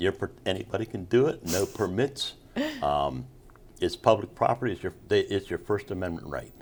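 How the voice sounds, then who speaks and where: A man speaks at a moderate pace in a fairly low pitch, using an ordinary speaking voice with lively intonation. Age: 60s. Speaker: Vietnam era Navy veteran and street singer. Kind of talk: interview answer.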